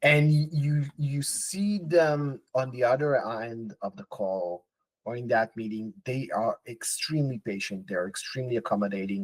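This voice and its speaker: In a dry, close recording with no echo, a man with a non-native accent talks at a medium pitch, somewhat breathy, with lively intonation and big swings in loudness. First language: not English. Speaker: podcast co-host. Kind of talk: casual chat.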